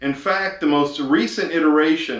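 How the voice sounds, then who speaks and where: A man with an East Texas accent speaks fairly slowly at a fairly high pitch. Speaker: video host. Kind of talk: casual talk to camera. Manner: hesitant, filler-heavy.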